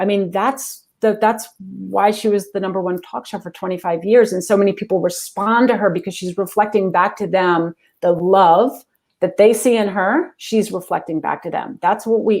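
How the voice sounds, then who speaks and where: Recorded very cleanly against a silent background, this voice with an American accent moves at a moderate pace, with ordinary pitch variation and big swings in loudness. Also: woman, medium pitch for a woman. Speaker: executive coach and speaker. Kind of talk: interview. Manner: animated.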